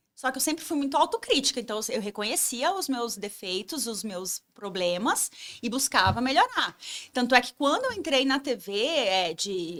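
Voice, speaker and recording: Very wide pitch swings run through speech at a moderate pace, captured in a dry, close sound with no echo. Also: woman. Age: 40s. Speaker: travel influencer and former TV reporter. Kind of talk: podcast interview, storytelling. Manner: animated.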